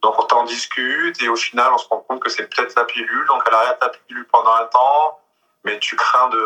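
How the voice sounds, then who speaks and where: A man speaks at a fairly quick pace, with music in the background. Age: 30s. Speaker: video surveillance manager, vasectomy patient. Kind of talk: casual chat.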